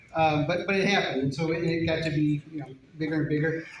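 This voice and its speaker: Delivery comes in an American accent. The room echoes audibly, and background noise is noticeable. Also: man. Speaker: father of the bride. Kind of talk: wedding speech. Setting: wedding reception. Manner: fast.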